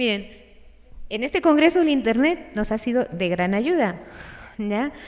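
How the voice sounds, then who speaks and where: Against a quiet background, a woman speaks in a high voice. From Spain. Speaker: religious sister and speaker. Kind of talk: conference talk. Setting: stage with audience, livestreamed. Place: hall. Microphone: podium.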